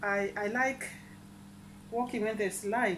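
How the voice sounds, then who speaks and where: The woman's voice has a bright, sharp tone. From East Africa. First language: an African language. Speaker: vlogger. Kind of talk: casual vlog chat. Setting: at home. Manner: halting, repeats words.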